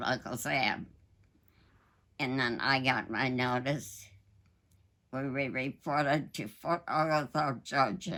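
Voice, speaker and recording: On a very clean recording with a silent background, a woman speaks at a very slow pace in a very deep, low pitch, her tone bright and sharp and her pitch variation ordinary. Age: 80s+. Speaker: war veteran. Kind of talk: interview answer.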